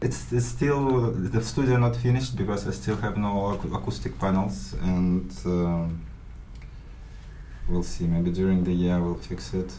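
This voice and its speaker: In a room with audible echo, a man speaks at a fairly slow pace in a very deep, low pitch with very wide pitch swings. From Ukraine. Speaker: DJ and techno producer. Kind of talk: interview. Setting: home studio. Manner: halting.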